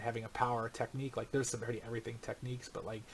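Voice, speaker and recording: A man with an American accent, medium pitch and fairly even intonation. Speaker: gaming podcaster. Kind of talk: casual chat. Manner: loud; halting.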